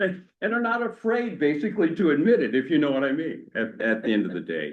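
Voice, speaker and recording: His pitch rises and falls very widely. This man speaks at a moderate speed, his voice showing vocal fry. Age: 60s. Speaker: tech worker, guest speaker. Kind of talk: talk to a church adult education class. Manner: conversational, casual.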